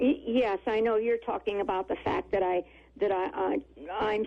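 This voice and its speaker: A woman's voice over noticeable background noise. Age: 80s+. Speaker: caller, family caregiver. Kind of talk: call-in radio conversation. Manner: halting.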